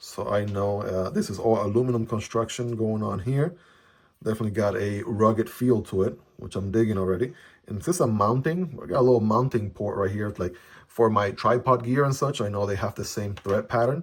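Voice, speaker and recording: A man's fairly low voice, a little breathy, at a fairly quick pace. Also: ordinary pitch variation, very clean recording, silent background. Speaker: EDC gear reviewer. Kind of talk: product unboxing review. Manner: animated.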